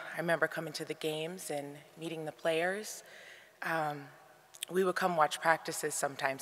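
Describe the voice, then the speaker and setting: A woman at a very deep, low pitch with an American accent, fairly quick pace, fairly even intonation, big swings in loudness and long, frequent pauses. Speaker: grandchild giving eulogy. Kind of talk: eulogy. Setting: memorial service in arena.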